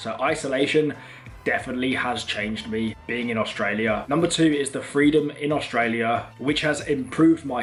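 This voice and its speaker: There is noticeable background noise as a man talks. His pace is fairly quick, with ordinary pitch variation. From England. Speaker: travel vlogger. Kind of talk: casual vlog talk to camera.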